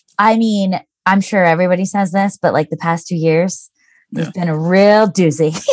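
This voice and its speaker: At a moderate pace, a woman with an American accent speaks in an unremarkable speaking voice, at medium pitch with fairly even intonation. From Lancaster County, Pennsylvania, US. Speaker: copywriter, business owner. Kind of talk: interview conversation.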